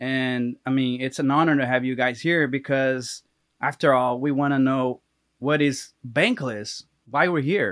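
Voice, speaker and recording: A man's fairly slow delivery with fairly even intonation. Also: medium pitch for a man. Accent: Portuguese. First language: Portuguese. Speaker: podcast host. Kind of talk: casual interview. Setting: remote video call.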